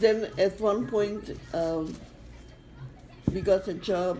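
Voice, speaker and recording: The speaker has a non-native accent. Pitch variation is ordinary. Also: woman. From Czechoslovakia. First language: not English. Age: old. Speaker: Holocaust survivor. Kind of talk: interview answer. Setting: home recording.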